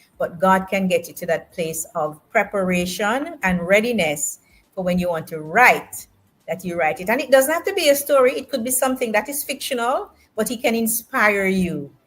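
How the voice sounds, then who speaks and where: A somewhat breathy woman's voice at medium pitch, moderate pace, with very wide pitch swings. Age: 60s. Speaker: author. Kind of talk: interview.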